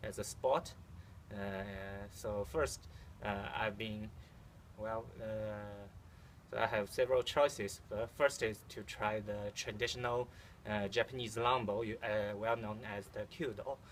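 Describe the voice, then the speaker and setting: A man speaks slowly with a fairly low pitch and fairly even intonation. He leaves long pauses, and leaves them often. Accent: Chinese. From China. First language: Chinese. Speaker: amateur archer. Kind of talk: casual video vlog. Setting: outdoors at archery field. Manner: halting, many fillers.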